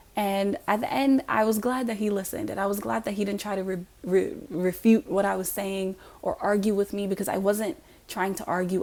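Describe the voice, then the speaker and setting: Here is a woman with an ordinary speaking voice. Her pitch is medium, and her pace is fairly quick. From US, raised by African immigrant family. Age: young. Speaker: YouTuber giving commentary. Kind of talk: monologue to camera.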